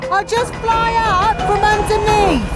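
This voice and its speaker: This is a put-on character voice, squeaky and extremely high in pitch. It moves at a fairly slow pace over clear music in the background. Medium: cartoon. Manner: brisk, chirpy.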